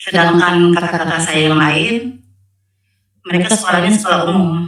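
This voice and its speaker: Fairly even intonation carries speech delivered at a moderate speed. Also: woman, fairly low pitch for a woman. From North Sumatra, Asahan Regency. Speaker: convert giving testimony. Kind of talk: testimony. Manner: halting.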